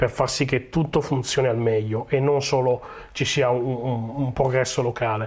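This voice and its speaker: Monotone, flat male speech, somewhat breathy and medium in pitch, at a moderate pace on a very clean recording with a silent background. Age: 40s. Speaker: agile coach. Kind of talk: conference talk. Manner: hesitant, many fillers.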